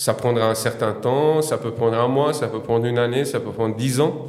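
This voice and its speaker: In a room with audible echo, a man speaks at a medium pitch and a moderate pace with fairly even intonation. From Bosnia, former Yugoslavia. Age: 40s. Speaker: podcast guest. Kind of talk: interview. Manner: hesitant, many fillers.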